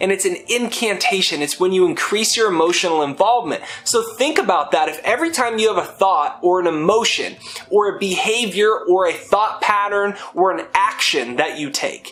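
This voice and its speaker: Music plays in the background. A man with a high pitch speaks with lively intonation. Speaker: self-help speaker. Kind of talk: motivational talk. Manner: fast; animated.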